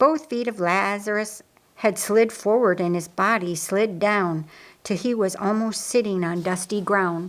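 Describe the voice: A woman speaks at a fairly slow pace and medium pitch. Her pitch varies in an ordinary way.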